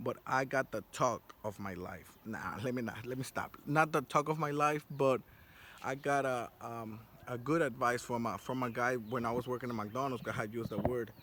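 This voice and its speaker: In a Spanish accent, a man speaks at a moderate pace with a medium pitch. His tone is bright and sharp, with ordinary pitch variation. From South Florida. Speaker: vlogger. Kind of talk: casual monologue. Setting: outdoors on a rooftop. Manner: animated.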